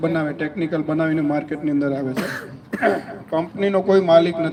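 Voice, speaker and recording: Noticeable noise sits behind a man whose voice is fairly high-pitched. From Gujarat, Junagadh (Saurashtra). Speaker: agrochemical company representative. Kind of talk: product presentation to farmers.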